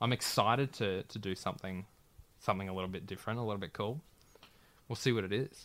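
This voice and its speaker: Speaking very fast with an Australian accent, a man uses a fairly low pitch and ordinary pitch variation, broken by long, frequent pauses. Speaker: radio announcer. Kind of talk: casual chat. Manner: halting.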